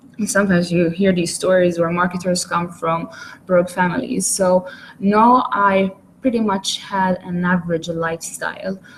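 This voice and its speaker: A woman speaks at a medium pitch and a moderate pace with fairly even intonation. Noticeable background noise can be heard. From Malta. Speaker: online marketer. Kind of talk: webinar presentation. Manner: hesitant, many fillers.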